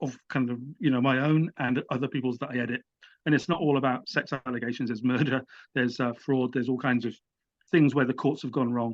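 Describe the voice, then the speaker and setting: Against a quiet background, a medium-pitched man talks at a very fast pace with fairly even intonation. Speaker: writer and editor. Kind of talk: interview. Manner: halting.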